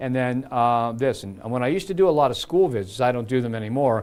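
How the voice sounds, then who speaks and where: A man's medium-pitched voice with a Midwestern US accent at a fairly quick pace. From Cincinnati area, Ohio. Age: 70s. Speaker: TV meteorologist. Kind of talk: live weather stream, casual chat. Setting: studio, live stream. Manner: halting.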